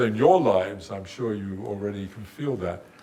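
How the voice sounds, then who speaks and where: Speaking at a fairly quick pace, a man is heard with audible room echo. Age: 80s+. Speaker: theoretical physicist. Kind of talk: lecture. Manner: halting.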